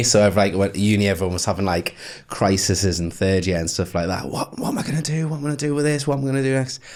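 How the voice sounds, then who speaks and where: A man with a Geordie accent, very fast and with hardly any pauses, lively intonation, and noticeable background noise. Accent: Geordie (Newcastle). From northern England, Newcastle. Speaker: email marketer. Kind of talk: podcast interview. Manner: casual, filler-heavy.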